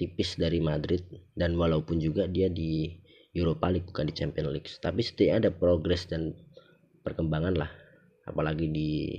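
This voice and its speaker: In a Javanese accent, this voice has a dark, mellow tone and monotone, flat intonation, moving at a moderate pace. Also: man, very deep, low pitch for a man. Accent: Javanese-accented Indonesian (medok). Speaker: podcast host. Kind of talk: casual solo monologue. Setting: recorded late at night.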